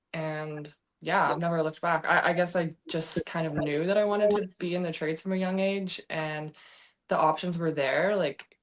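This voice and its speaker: A woman with a Canadian accent has a normal speaking voice, fairly low in pitch, moving at a moderate pace with fairly even intonation. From western Canada, Vancouver. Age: 20s. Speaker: welder. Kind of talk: interview.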